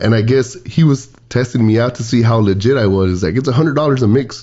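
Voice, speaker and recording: A man with a South Texas accent, medium in pitch and somewhat breathy, with an animated tone at a fairly quick pace. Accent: South Texas border (Valley). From Texas border, Laredo. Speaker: podcast co-host, DJ. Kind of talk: casual chat. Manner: animated storytelling.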